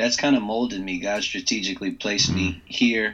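Bright, sharp tone from a man with an American accent, fairly even intonation, quiet background. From Northern Virginia, US. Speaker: former pro football player, campus minister. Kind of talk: casual interview.

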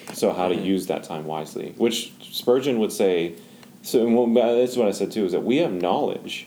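Here is a man with a normal speaking voice. He speaks at a fairly quick pace with ordinary pitch variation. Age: 20s. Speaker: founder of a young adult ministry. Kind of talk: casual chat.

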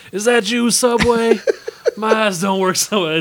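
Using a put-on character voice, a man talks at a moderate pace in a raspy, high-pitched tone with fairly even intonation over clear background noise.

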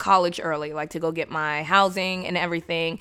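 The woman speaks with an American accent and a bright, sharp tone. The recording is very clean, with a silent background. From San Diego, California. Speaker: former speech competitor and forensics coach. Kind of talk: casual interview chat.

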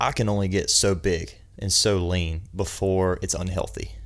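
Speaking with an American accent, the man has a very deep, low pitch. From South Carolina, US. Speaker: personal trainer. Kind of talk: casual chat.

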